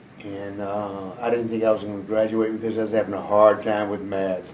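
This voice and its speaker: A man's fairly low, monotone voice with an American accent and flat intonation, heard with audible room echo. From US South, Memphis, Tennessee. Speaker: war veteran. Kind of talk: oral history interview.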